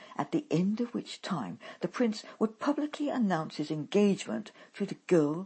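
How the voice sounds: The intonation rises and falls in a lively way across a natural reading voice.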